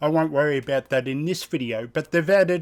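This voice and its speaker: This Australian-accented man speaks at a fairly high pitch with ordinary pitch variation. The recording is very clean, with a silent background. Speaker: sim racing YouTuber. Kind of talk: gameplay commentary and tutorial. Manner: casual, enthusiastic.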